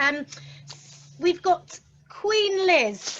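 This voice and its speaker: Over noticeable background noise, a woman with a London accent speaks with very wide pitch swings. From south London. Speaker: interviewer. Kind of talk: interview conversation. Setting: office, remote event.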